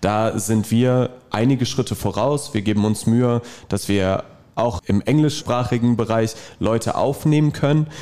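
A man's medium-pitched, dark and mellow voice at a fairly slow pace, with ordinary pitch variation and very even loudness. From Dortmund, Germany. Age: 20s. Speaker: fitness trainer. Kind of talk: casual interview.

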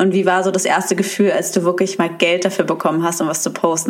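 A woman at a fairly low pitch and a very fast pace, over noticeable background noise. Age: 20s. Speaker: podcast host. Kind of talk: casual chat.

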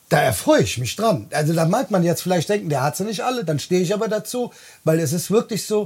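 A man speaks at a fairly quick pace with a high pitch for a man. His intonation is lively, and the recording is very clean with a silent background. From Bonn, Rhineland. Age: 40s. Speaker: podcast host, truck driver. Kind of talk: casual chat. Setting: in a caravan.

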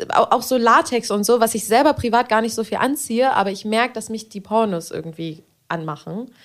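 An ordinary speaking voice moves at a fairly quick pace with ordinary pitch variation. Its loudness swings widely. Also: woman, fairly high pitch for a woman. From Berlin. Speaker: podcast host and adult film performer. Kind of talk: casual chat.

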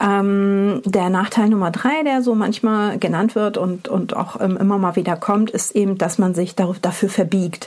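In a plain, everyday voice, the speaker talks at a moderate pace with ordinary pitch variation. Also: woman. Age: 40s. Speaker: podcast host and company founder. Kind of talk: solo podcast monologue. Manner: casual, with many filler sounds.

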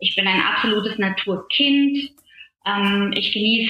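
Noticeable background noise runs under the recording. The pace is very slow. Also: woman. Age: 40s. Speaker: coaching client, health insurance advisor. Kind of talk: personal coaching conversation. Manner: hesitant, many fillers.

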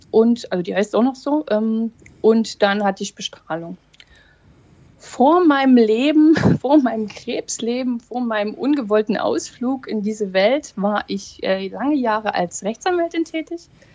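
Her fairly high voice lively in intonation, a woman speaks at a fairly slow pace with a dry, close sound and no echo, though noticeable background noise is present. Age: 40s. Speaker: lawyer and breast cancer survivor. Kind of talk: casual chat.

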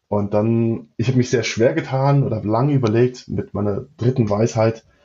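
Somewhat breathy, with fairly even intonation. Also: man. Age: 30s. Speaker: managing partner of an electronics manufacturer. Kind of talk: interview. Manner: hesitant, many fillers and repetitions.

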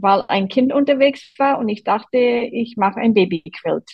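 Speaking with an American accent, a woman has a fairly high pitch and ordinary pitch variation. Her pace is fairly slow. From Boston, US East Coast. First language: English (speaking German). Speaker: quilter, quilt group member. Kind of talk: interview.

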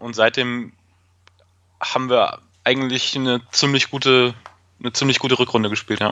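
At a moderate pace and a medium pitch, a man speaks in a monotone, flat intonation with long, frequent pauses. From Fürth, Franconia, Germany. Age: 30s. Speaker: football fan. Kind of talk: casual chat.

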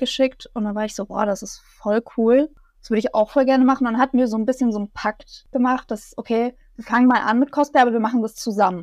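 A woman speaks at a fairly quick pace in a high voice with fairly even intonation, the sound dry and close with no echo. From Bavaria, near Munich. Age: 20s. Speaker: cosplayer and student. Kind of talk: interview, casual chat.

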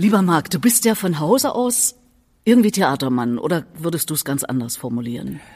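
Speaking at a moderate pace, a woman with a fairly low pitch uses very wide pitch swings. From Erfurt, Thuringia. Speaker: podcast host. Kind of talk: interview. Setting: cultural centre venue.

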